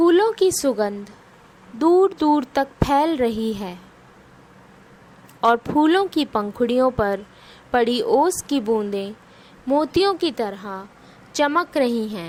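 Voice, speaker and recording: Pausing long and often, a woman talks in a high voice whose pitch swings very widely. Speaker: guided meditation / yoga nidra instructor. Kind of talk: guided meditation narration. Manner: slow, calm, soothing.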